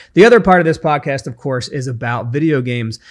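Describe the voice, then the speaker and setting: A man talks at a very fast pace and a medium pitch. The background is quiet. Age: 40s. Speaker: podcast host. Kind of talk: solo podcast monologue. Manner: casual, with fillers.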